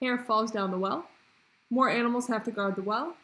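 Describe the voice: What we hear is plain reading aloud.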